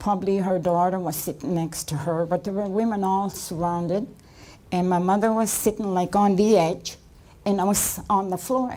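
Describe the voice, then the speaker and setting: At a moderate pace, a woman speaks with a medium pitch, ordinary pitch variation, and a dark, mellow tone. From Nova Scotia, Canada. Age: 70s. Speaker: residential school survivor and author. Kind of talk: testimony. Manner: halting.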